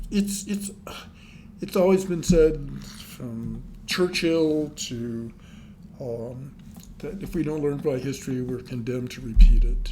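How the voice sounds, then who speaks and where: A man with an American accent speaks at a very slow pace, leaving long, frequent pauses, his loudness swinging widely. His fairly high voice is somewhat breathy and dark and mellow in tone, with lively intonation. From New Mexico, USA. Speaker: retired psychotherapist and author. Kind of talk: interview answer.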